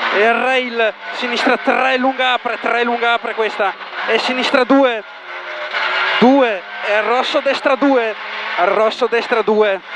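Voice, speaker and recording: A man's very slow speech, broken by long, frequent pauses, with noticeable background noise and a dry, echo-free sound. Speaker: rally co-driver. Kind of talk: rally pace notes read out to the driver. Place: car. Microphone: helmet.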